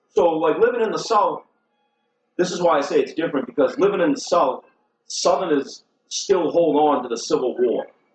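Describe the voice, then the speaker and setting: A man with a Boston accent, high in pitch, with lively intonation. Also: moderate pace. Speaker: comedian. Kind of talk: casual chat. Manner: animated.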